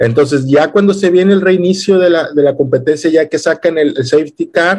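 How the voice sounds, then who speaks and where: With a Mexican accent, a man speaks at a high pitch with ordinary pitch variation. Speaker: podcast co-host. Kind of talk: casual chat. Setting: home.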